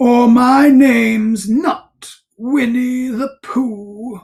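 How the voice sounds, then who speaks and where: This female-sounding voice is a put-on character voice with a fairly high pitch. It moves at a very slow pace. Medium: read story. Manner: earnest, simple.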